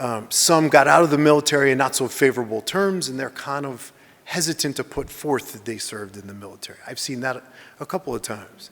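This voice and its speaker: A loud man's voice at a very fast pace, medium in pitch with ordinary variation. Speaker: veteran presenter. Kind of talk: Q&A after presentation.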